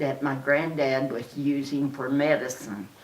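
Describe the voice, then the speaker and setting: An American accent at a very slow pace, with noticeable background noise and audible room echo. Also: woman. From Oklahoma. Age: 80s+. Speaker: interviewee, relative of a famous entertainer. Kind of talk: interview reminiscence. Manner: halting, many fillers.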